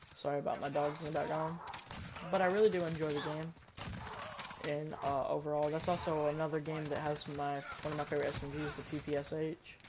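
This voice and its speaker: In a room with audible echo and noticeable background noise, a man talks at a fairly quick pace in a fairly high pitch with monotone, flat intonation. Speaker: gaming streamer. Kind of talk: casual gaming stream chat. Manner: loud, often yelling.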